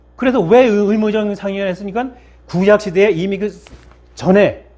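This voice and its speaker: A man talks at a high pitch and a fairly quick pace. His intonation stays fairly even. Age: 60s. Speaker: pastor. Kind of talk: sermon. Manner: halting.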